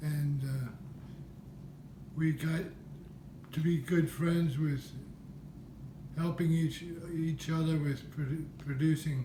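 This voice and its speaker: With an American accent, a man with a fairly high, dark and mellow voice speaks very slowly in a flat monotone, leaving long, frequent pauses amid audible room echo. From Pennsylvania. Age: 70s. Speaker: wood carver. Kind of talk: interview.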